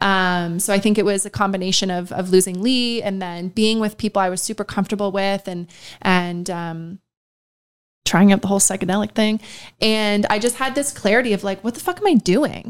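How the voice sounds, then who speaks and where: Speaking at a fairly quick pace with fairly even intonation, a woman with a medium pitch has a plain, everyday voice, captured on a very clean recording with a silent background. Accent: Canadian. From Ontario, Canada (small town north of Toronto). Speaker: marketing executive. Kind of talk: casual interview.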